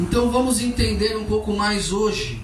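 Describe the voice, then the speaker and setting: The voice belongs to a man. Room echo is audible. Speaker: preacher. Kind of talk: sermon. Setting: church service with congregation.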